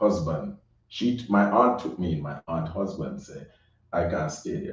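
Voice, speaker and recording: Speaking in a Jamaican accent, a man talks at a fairly slow pace with a very deep, low pitch and ordinary pitch variation. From Jamaica, Saint Catherine and Kingston. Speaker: recording artist. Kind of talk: interview.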